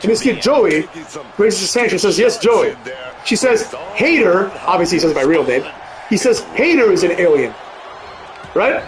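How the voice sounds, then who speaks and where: A man speaks at a high pitch and a moderate pace, his voice moving in very wide pitch swings with long, frequent pauses. Audible room echo and noticeable background noise surround him. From Europe. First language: a European language, learned English as a child. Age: 30s. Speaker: gaming streamer. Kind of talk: casual chat. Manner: casual, many fillers.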